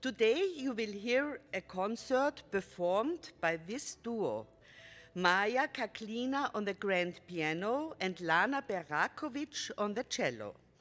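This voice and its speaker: On a very clean recording with a silent background, a woman with an Austrian accent speaks at a very slow pace, her fairly high pitch making very wide swings. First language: German. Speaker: storyteller. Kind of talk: concert introduction for children. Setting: stage with audience.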